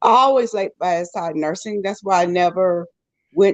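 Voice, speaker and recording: A woman with a plain, everyday voice speaks at a moderate pace, her pitch fairly low and her pitch variation ordinary. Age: 60s. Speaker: travel nurse. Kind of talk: panel discussion.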